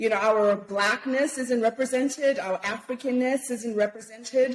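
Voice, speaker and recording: Loud speech comes at a moderate pace with fairly even intonation. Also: woman, high pitch for a woman. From Zimbabwe. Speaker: podcast guest. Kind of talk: casual interview chat.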